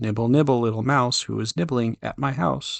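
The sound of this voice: This man uses a put-on character voice that sounds squeaky. He keeps a medium pitch and talks at a moderate pace.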